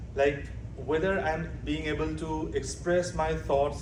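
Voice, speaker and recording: A man with a Bengali accent at a moderate pace, with noticeable background noise and audible room echo. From Bangladesh. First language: Bangla. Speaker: doctoral student presenter. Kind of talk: conference presentation. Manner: halting, many fillers and self-corrections.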